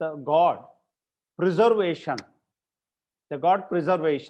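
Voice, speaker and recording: At a very slow pace, a man talks in a high pitch with ordinary pitch variation. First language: Kannada. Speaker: university vice-chancellor, panel speaker. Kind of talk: webinar panel talk. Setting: video call. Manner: halting, many fillers and repetitions.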